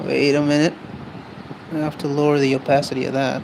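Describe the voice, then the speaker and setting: Someone talks at a very fast pace, with noticeable background noise in the recording. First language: not English. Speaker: streaming artist. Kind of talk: casual live-stream chat while drawing. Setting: live stream.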